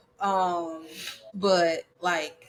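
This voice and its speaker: A woman's fairly low voice in a Southern US accent. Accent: Southern US, country. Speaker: podcast co-host. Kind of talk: casual chat. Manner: animated.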